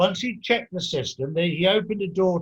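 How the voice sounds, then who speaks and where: With an English accent, a man talks at a very fast pace in a high pitch. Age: 60s. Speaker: podcast host. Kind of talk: interview. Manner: halting.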